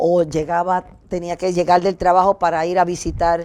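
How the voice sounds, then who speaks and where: Here is a woman in a normal speaking voice. She speaks at a moderate pace with a fairly low pitch. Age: 60s. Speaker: talk show co-host sharing testimony. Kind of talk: testimony.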